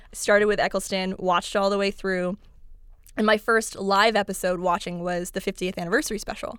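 On a very clean recording with a silent background, a woman talks at a fairly quick pace in an ordinary speaking voice, her medium pitch carried by fairly even intonation. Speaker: comedian guest. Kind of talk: casual chat.

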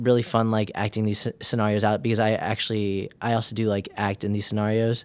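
A man's fairly low voice at a fairly quick pace with fairly even intonation, an unremarkable speaking voice, in a very clean recording with a silent background. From northern Illinois, US. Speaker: nursing student. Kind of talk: casual interview.

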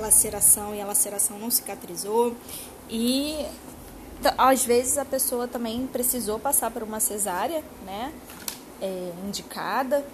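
A woman with a fairly high pitch speaks at a fairly slow pace, with long, frequent pauses and ordinary pitch variation. Noticeable background noise runs behind her. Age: 30s. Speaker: podcast host. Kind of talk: casual monologue. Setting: home sofa. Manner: talkative.

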